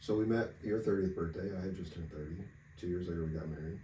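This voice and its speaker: A man speaks quietly at a fairly quick pace in a very deep, low voice with a dark, mellow, somewhat breathy tone, fairly even intonation, and audible room echo. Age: 30s. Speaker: podcast co-host. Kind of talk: casual chat.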